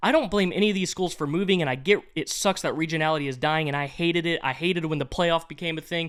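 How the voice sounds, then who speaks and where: This man talks very fast with hardly any pauses, his high voice moving through ordinary pitch variation. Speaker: college football commentator. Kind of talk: casual commentary. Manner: animated.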